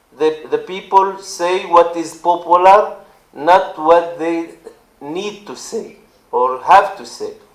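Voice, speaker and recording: With an Arabic accent, a man speaks at a very slow pace in a high pitch, with ordinary pitch variation and big swings in loudness. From Israel, Druze community. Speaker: politician. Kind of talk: speech. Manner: halting.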